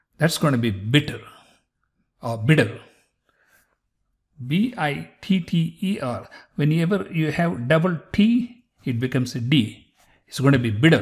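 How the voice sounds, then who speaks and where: At a fairly slow pace with long, frequent pauses, a somewhat breathy man speaks at a fairly high pitch in very wide pitch swings. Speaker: physician and video host. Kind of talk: pronunciation tutorial. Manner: slow, deliberate enunciation.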